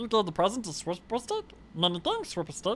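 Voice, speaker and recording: A man performs a put-on character voice whose pitch swings very widely. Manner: goofy.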